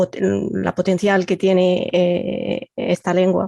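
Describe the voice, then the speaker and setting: A woman with a non-native accent speaks at a medium pitch in a dry, close sound with no echo. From Egypt. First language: Arabic (speaking Spanish). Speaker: computational linguist. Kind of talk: podcast interview.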